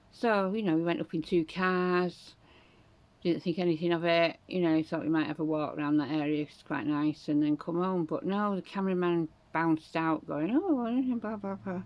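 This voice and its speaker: With a Yorkshire accent, a woman speaks at a fairly low pitch and a moderate pace, her pitch varying in an ordinary way. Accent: Northern English (Yorkshire). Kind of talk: casual talk to camera. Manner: chatty, rambling.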